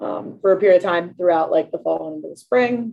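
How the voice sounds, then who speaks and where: The speaker is a woman with an American accent. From Pittsburgh, Pennsylvania. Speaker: university strength and conditioning director. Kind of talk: interview.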